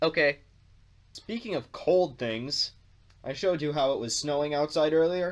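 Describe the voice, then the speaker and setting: Lively intonation at a moderate pace, with long, frequent pauses. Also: man. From North America. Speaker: video blogger. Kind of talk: casual vlog monologue.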